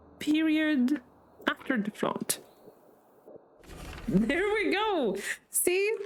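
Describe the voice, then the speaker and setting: A woman with a high pitch speaks at a very slow pace, with long, frequent pauses. Her pitch swings very widely over noticeable background noise. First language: not English. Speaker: vtuber streamer. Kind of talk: gaming livestream commentary. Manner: casual, chatty. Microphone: echoey microphone.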